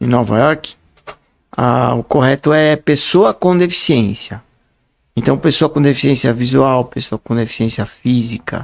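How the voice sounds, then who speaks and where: A man talks at a fairly slow pace in an unremarkable speaking voice. His medium pitch shows ordinary variation. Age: 60s. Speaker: writer and speaker, blind association president. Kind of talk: podcast interview.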